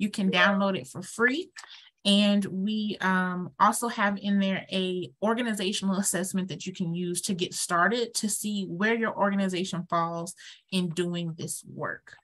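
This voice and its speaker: Pacing is fairly slow, with ordinary pitch variation. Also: woman, medium pitch for a woman. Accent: American. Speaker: sex education trainer. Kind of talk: webinar presentation. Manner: halting, many fillers.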